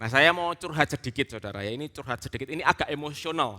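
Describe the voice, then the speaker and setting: A man's voice has a bright, sharp tone and very wide pitch swings. The recording is very clean with a silent background, and the sound is dry and close with no echo. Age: 30s. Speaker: preacher, theologian. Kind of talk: sermon.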